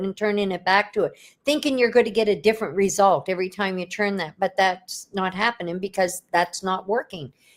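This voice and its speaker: On a very clean recording with a silent background, a woman uses a normal speaking voice at medium pitch and ordinary pitch variation. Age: 60s. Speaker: business coach. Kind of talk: interview.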